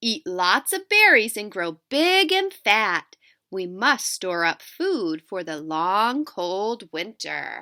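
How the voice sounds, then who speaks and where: A female-sounding voice in a put-on character style speaks at a very slow pace on a very clean recording with a silent background. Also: medium pitch for a woman. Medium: read story. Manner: nurturing.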